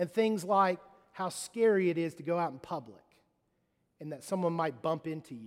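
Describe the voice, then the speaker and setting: A man in a Mississippi accent, high-pitched and animated, with lively intonation, big swings in loudness, a moderate pace and long, frequent pauses. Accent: US Southern (Mississippi). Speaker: pastor. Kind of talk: sermon. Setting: church.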